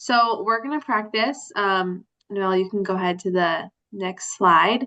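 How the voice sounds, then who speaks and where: A woman's plain, everyday voice at a medium pitch, with ordinary pitch variation and a fairly slow pace. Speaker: adult literacy workshop presenter. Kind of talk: workshop presentation. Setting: video call.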